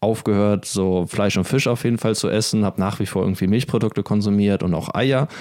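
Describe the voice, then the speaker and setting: A man has an ordinary speaking voice, fairly low in pitch. He talks at a moderate pace with fairly even intonation. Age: 20s. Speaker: podcast co-host. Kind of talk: casual chat.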